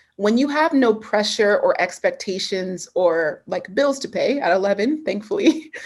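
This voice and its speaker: Lively intonation from a woman, in a very clean recording with a silent background. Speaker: personal development trainer. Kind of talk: live coaching Q&A. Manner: animated.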